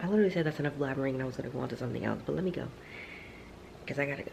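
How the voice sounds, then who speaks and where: Quiet and very fast, a woman speaks at a very deep, low pitch with ordinary pitch variation. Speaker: vlogger, trucking student. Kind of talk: casual video diary. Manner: quiet, talking low; chatty, filler-heavy.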